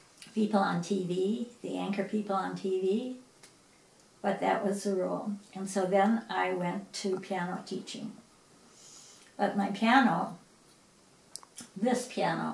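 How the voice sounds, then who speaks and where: At a fairly slow pace, a woman of medium pitch talks with fairly even intonation and long, frequent pauses, amid audible room echo and noticeable background noise. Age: 70s. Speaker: piano teacher. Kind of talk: interview.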